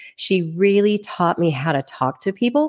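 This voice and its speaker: A woman talks with a Texan accent at a moderate pace. Her intonation is lively. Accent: Texan American English. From Texas (Plano, Dallas area). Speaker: loan officer. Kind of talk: podcast interview. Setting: studio.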